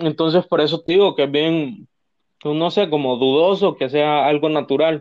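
In a normal speaking voice, a man talks at a fairly slow pace with fairly high pitch, fairly even intonation and very even loudness. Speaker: podcast co-host, university student. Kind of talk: casual chat.

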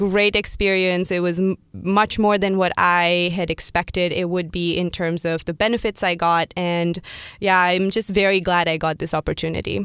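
A woman at medium pitch keeps a moderate pace and a monotone, flat delivery. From India. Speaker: strategy and operations lead, MBA alumna. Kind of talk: interview. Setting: studio.

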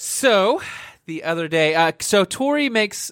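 The sound is dry and close, with no echo. A man speaks with lively intonation. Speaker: podcast host, church staff member. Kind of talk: casual chat, faith-based podcast. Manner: loud, excitable.

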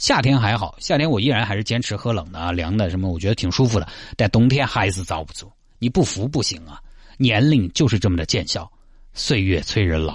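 A man with a fairly low, somewhat breathy voice talks at a fairly quick pace with lively intonation. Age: 30s. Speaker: radio host. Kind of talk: radio talk show monologue.

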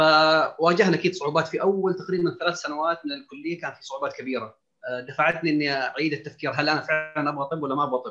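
A man speaks at a fairly quick pace with hardly any pauses, in an unremarkable speaking voice. His pitch sits fairly high and his intonation stays fairly even. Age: 30s. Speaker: family physician and diabetologist. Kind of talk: panel discussion.

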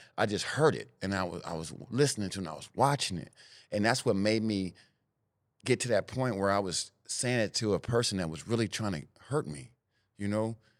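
A man speaks in a fairly low voice with lively intonation. The recording is very clean with a silent background. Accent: Northern California. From Sacramento, California, US. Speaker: former gang member turned mentor. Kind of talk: interview.

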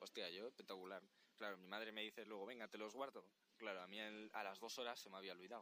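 Racing at a very fast pace, a man speaks in a fairly low pitch with a bright, sharp tone and monotone, flat intonation. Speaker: podcast guest, friend. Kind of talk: casual storytelling. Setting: outdoors on a beach at night.

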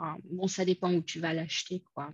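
The recording is dry and close, with no echo. A woman speaks in a dark, mellow tone. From United States. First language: English (speaking French). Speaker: conference interpreter and home cook. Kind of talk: casual interview. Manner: hesitant, many repetitions.

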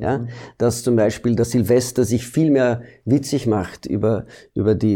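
Ordinary pitch variation and a dark, mellow tone from a man at a moderate pace. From Belgium. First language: Dutch (speaking German). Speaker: actor. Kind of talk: interview. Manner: halting.

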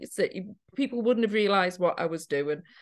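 A woman talks at a fairly quick pace with a Geordie accent. The background is quiet. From Newcastle, northern England. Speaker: witchcraft teacher and author. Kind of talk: casual interview chat. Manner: halting, many fillers.

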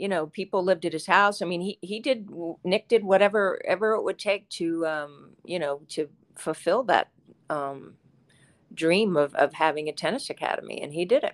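A woman with an American accent speaks in an unremarkable speaking voice at a medium pitch and moderate pace with ordinary pitch variation, on a very clean recording with a silent background and dry, close sound with no echo. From West Virginia (Charleston). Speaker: former pro tennis player. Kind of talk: interview.

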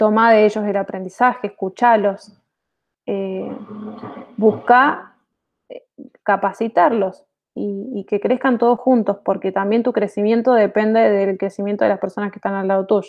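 Using monotone, flat intonation and a medium pitch, a woman speaks at a fairly slow pace with long, frequent pauses. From Argentina, Mendoza (General Alvear), rural. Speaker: IT manager. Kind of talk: interview. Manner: hesitant, repeats words.

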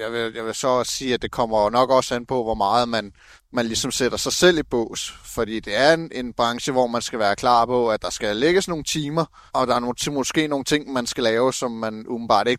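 In a very clean recording with a silent background, a man with an ordinary speaking voice talks at a moderate pace, with medium pitch and ordinary pitch variation. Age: 30s. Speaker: truck driver apprentice. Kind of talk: interview. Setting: outdoors.

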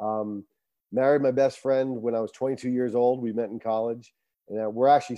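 Speaking with an American accent, a man has a plain, everyday voice at medium pitch. His pace is fairly quick and his intonation fairly even. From Rhode Island, US. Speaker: coach and motivational speaker. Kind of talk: casual interview.

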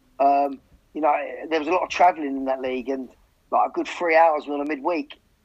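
At a very fast pace, a man speaks in a fairly high pitch with fairly even intonation. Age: 40s. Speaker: football manager. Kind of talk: interview.

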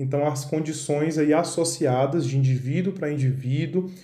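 Somewhat breathy and dark, mellow in tone, a man's fairly high voice moves at a fairly slow pace with fairly even intonation, with audible room echo. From Bahia, Brazil. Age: 30s. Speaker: neurologist. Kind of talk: podcast interview, explanatory.

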